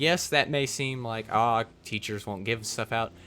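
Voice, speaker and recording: At a fairly slow pace, a man speaks with a bright, sharp tone. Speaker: gaming YouTuber. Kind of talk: commentary video, game review rant. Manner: animated.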